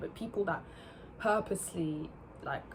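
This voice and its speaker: A woman is speaking. Noticeable noise runs in the background. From England, born in France near Paris. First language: French. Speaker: YouTuber. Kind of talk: casual chat. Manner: halting, many fillers.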